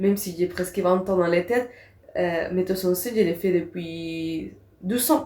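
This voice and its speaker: At a moderate pace, a speaker with a non-native accent shows ordinary pitch variation over noticeable background noise. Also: woman, medium pitch for a woman. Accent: foreign accent in French. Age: 20s. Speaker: actress and theatre teacher. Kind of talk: podcast interview. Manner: halting.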